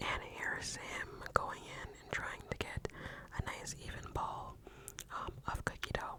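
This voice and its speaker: Whispering, a woman is heard through noticeable background noise. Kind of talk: whispered ASMR voiceover. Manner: whispered, soft-spoken.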